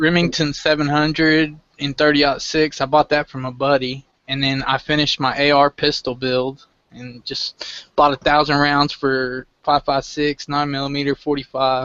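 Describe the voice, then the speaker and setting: A man talks in a Southern US accent with monotone, flat intonation. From southwest Oklahoma. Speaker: gun enthusiast, live stream participant. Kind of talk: casual chat.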